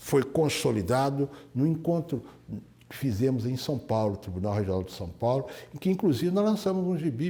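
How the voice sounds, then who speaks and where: A man speaks in a fairly high pitch with a dark, mellow, somewhat breathy tone. His pitch swings very widely and his loudness shifts a great deal. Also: moderate pace. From Minas Gerais, Brazil. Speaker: retired high court judge. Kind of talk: oral history interview answer.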